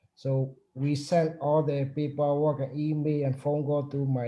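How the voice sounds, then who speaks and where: Somewhat breathy and fairly high in pitch, a man speaks in a flat monotone. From Burma. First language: not English. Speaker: union chapter president. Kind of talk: panel discussion. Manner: halting.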